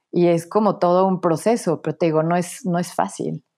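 A woman's dark, mellow voice at medium pitch and a moderate pace, over a quiet background. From Mexico, Puebla. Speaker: author and academic. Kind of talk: interview. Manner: halting, frequent repetitions.

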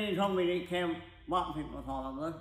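In an American accent, a man raises and projects his high-pitched voice with ordinary pitch variation, and audible room echo surrounds him. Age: 50s. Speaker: racing crew member. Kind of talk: casual interview.

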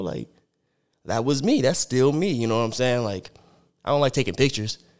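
A man with an American accent speaks at medium pitch with ordinary pitch variation. He has a plain, everyday voice, on a very clean recording with a silent background. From Arizona (Sierra Vista). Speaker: rapper. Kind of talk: casual chat.

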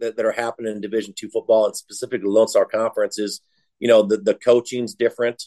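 With an American accent, a man talks at a very fast pace in a medium pitch with ordinary pitch variation, recorded dry and close with no echo. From Iowa, US Midwest. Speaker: college football head coach. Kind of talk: casual interview.

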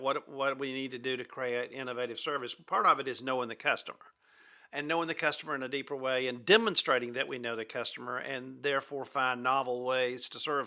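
A bright, sharp male voice at medium pitch, fairly quick in pace, with monotone, flat intonation. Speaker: keynote speaker and author on customer service. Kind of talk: interview.

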